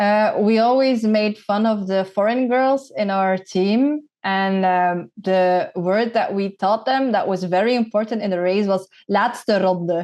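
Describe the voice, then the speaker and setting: A woman's medium-pitched voice with a Dutch accent, very even loudness, ordinary pitch variation and a fairly slow pace. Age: 30s. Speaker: former pro cyclist and content creator. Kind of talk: podcast interview.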